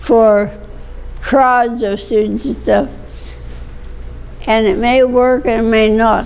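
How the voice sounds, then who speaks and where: With noticeable background noise around her, a woman speaks. Her pitch is fairly high, with ordinary pitch variation. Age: 80s+. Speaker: retired speech and journalism instructor. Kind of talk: interview answer. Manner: reminiscing, conversational.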